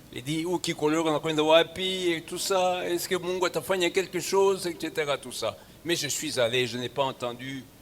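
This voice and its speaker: A man talks at a moderate pace in a high pitch with ordinary pitch variation. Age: 70s. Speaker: bishop. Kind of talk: sermon. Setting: church.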